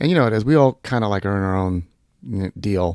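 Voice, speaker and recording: A man with an American accent and an ordinary speaking voice talks at a fairly quick pace and a fairly low pitch. The very clean recording has a silent background and a dry, close sound with no echo. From Southern California. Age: 50s. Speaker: kart racer. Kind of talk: casual chat.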